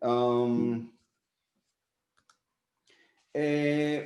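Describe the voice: With audible room echo, a man speaks at a very slow pace and medium pitch, showing little pitch movement and a slightly mellow tone.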